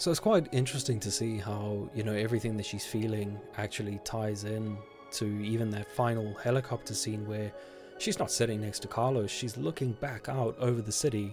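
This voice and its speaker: With music in the background, a man speaks at a fairly quick pace in a medium pitch with ordinary pitch variation. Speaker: gaming YouTuber. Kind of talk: casual talk to camera.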